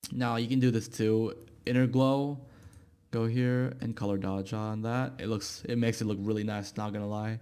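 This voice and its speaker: With a non-native accent and audible room echo, a man speaks at a medium pitch and moderate pace in a monotone, flat intonation. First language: not English. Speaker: YouTube tutorial creator. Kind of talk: software tutorial. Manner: casual, hesitant with fillers.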